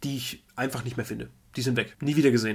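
A man's medium pitch with ordinary pitch variation. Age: 30s. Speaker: podcast co-host, trading card collector. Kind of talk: casual chat.

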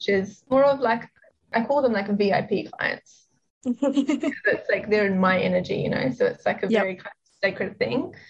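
At a moderate pace, a woman is talking. She has a New Zealand accent. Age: 20s. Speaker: psychic and spiritual business coach. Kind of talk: casual interview chat.

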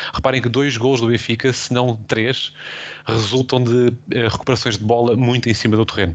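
A man talks at a moderate pace in a medium pitch, with fairly even intonation. His loudness stays very even, and the background noise is noticeable. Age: 20s. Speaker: football podcast host. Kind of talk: casual chat.

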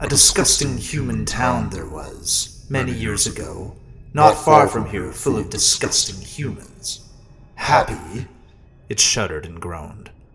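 In a put-on character voice, a man speaks raspy and fairly slowly at a medium pitch. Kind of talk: horror storytelling. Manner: relishing, sinister.

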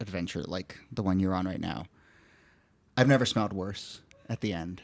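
The sound is dry and close with no echo. A man speaks in a playful tone at a fairly low pitch. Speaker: podcast host. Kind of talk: casual chat. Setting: studio. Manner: joking, playful.

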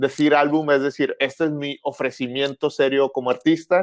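A man with a Monterrey accent talks at a moderate pace and a fairly high pitch, recorded with a dry, close sound and no echo. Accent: marked Monterrey. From northern Mexico, Monterrey. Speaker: musician. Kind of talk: casual interview.

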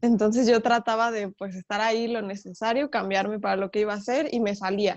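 This woman has a central Mexican accent and a fairly high pitch. She talks at a moderate pace. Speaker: professional folk dancer. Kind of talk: interview.

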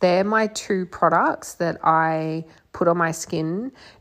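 The setting is quiet. A woman talks very slowly. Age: 30s. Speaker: podcast host, psychic medium and mentor. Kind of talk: solo monologue podcast. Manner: casual, with fillers and laughs.

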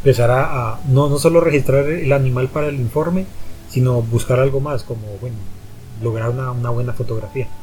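With music in the background and audible room echo, a man talks at a fairly quick pace in a fairly even intonation. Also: medium pitch for a man. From Colombia, Popayán. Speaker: biologist and nature photographer. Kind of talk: casual interview. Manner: halting, many repetitions and fillers.

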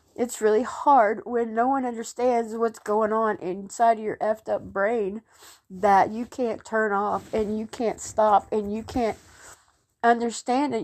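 A woman's fairly high voice at a fairly slow pace over a quiet background. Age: 50s. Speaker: podcaster in recovery. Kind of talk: personal testimony. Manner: halting.

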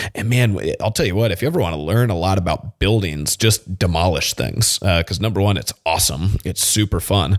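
In a dry, close sound with no echo, a man with a very deep, low pitch and ordinary pitch variation talks at a fairly quick pace with hardly any pauses. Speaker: fitness podcast host. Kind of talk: solo podcast monologue. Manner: casual, conversational.

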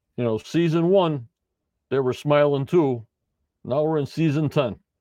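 In a quiet setting, a man with a fairly high pitch and ordinary pitch variation talks at a moderate pace. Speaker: podcast host doing live post-show chat. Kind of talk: casual live-stream chat reading viewer comments. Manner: stumbling, repetitive.

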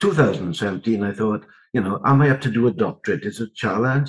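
Against a quiet background, a man with a South Wales Valleys accent speaks at a medium pitch with ordinary pitch variation. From south Wales (Rhondda). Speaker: education researcher. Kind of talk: interview about research.

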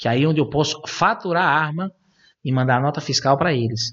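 A man at a moderate pace. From Brazil, São Paulo. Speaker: gun shop and shooting club owner. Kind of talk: interview.

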